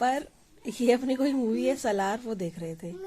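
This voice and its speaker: A woman with a fairly high pitch talks while noticeable background noise plays behind her. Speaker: family vlogger, mother. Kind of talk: casual home vlog narration. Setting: at home.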